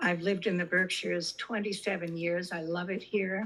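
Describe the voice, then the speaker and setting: A somewhat breathy woman's voice at medium pitch and a moderate pace. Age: 80s+. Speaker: resident speaking at public hearing. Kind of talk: public comment at zoning hearing. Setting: video call.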